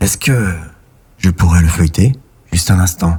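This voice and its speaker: A put-on character voice from a man, quiet and very deep in pitch, with ordinary pitch variation at a moderate pace. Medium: read story. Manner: quiet, hesitant.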